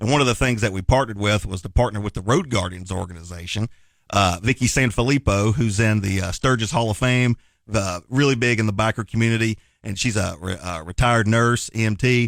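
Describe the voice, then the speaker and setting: A man with a Southern accent speaks at a fairly quick pace in a fairly low voice, with ordinary pitch variation. The recording is very clean, with a silent background. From Tennessee, Knoxville. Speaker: lawyer. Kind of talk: radio interview. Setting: radio studio. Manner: casual, filler-heavy.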